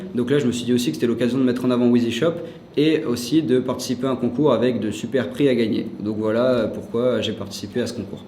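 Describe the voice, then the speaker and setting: Noticeable background noise and audible room echo accompany this recording. A man talks at a very fast pace with ordinary pitch variation. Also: medium pitch for a man. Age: 20s. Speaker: SEO specialist and student. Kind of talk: interview. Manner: hesitant, many fillers.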